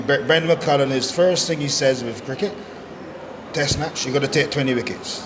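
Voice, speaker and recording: Noticeable background noise and audible room echo surround a man's voice. He has a fairly high pitch and fairly even intonation, at a moderate pace. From Barbados. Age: 60s. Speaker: former cricketer. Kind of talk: interview. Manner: halting, many repetitions.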